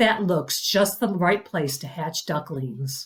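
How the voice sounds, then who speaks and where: A woman puts on a character voice, speaking at a fairly slow pace with a fairly low pitch. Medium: read story. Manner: motherly.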